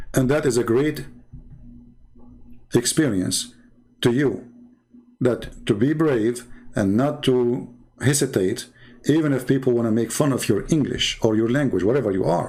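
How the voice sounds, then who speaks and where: A man with a non-native accent, a dark, mellow tone and a medium pitch, at a moderate pace with ordinary pitch variation, very even loudness and long, frequent pauses. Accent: non-native English, mocked by others. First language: not English. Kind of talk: commentary monologue responding to viewer comments. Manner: animated.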